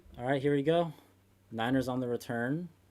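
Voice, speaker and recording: A soft-spoken man talks at a fairly quick pace with a fairly high pitch and ordinary pitch variation. The recording is very clean, with a silent background and a dry, close sound with no echo. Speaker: sports youtuber hosting a watch party. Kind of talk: live watch-party commentary and chat. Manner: soft-spoken, quiet; low-key, subdued excitement.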